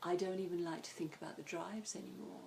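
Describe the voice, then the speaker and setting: With vocal fry and a monotone, flat delivery, a woman speaks at a fairly low pitch and a moderate pace. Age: 60s. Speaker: psychotherapist. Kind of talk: interview.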